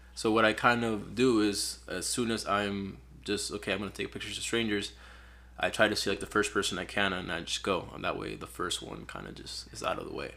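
A man speaks at a fairly quick pace with a Spanish accent. His loudness swings widely. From Peru. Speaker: photographer. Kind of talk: casual chat.

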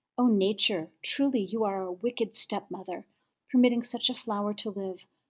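The woman's voice is somewhat breathy, sitting at a medium pitch with ordinary pitch variation. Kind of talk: poem reading. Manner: slow, deliberate, wistful; expressive, emphatic repetition.

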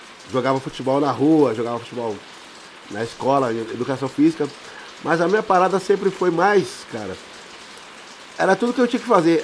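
A man talks at a fairly quick pace with long, frequent pauses and very wide pitch swings. Background noise is noticeable. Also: fairly high pitch for a man. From São Paulo, Capão Redondo. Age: 40s. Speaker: samba and pagode singer. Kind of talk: casual chat.

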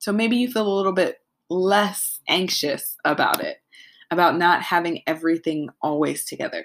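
On a very clean recording with a silent background, a woman speaks in an unremarkable speaking voice at medium pitch and moderate pace, with ordinary pitch variation. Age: 20s. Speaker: podcast host. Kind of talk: solo casual monologue. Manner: laughs often.

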